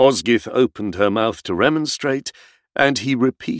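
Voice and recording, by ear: Over a quiet background, someone reads aloud in a natural voice with ordinary pitch variation.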